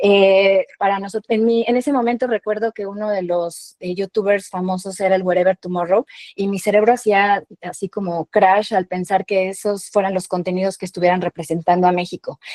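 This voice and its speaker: With a Mexican accent, a woman speaks at a medium pitch and moderate pace with hardly any pauses and fairly even intonation, in a dry, close sound with no echo. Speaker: founder of a digital media outlet. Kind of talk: panel talk presentation.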